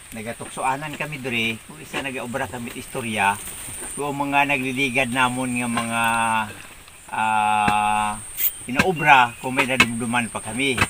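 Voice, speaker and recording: A man's medium-pitched voice at a fairly slow pace, fairly even intonation, big swings in loudness, and noticeable background noise. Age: 70s. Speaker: farmer. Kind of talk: casual vlog talk to camera.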